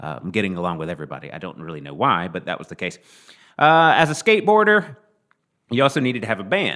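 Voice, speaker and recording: This man has a Southern US accent and a fairly low voice with vocal fry. His pitch swings very widely and his loudness shifts a lot. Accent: southern drawl. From Mississippi, US South. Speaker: podcast guest, musician. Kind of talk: casual interview chat.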